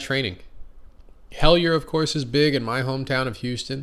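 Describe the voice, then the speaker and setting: Audible room echo surrounds a man talking very fast. His pitch varies in an ordinary way. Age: 30s. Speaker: podcast host, non-destructive testing technician. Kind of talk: casual monologue. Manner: conversational with fillers.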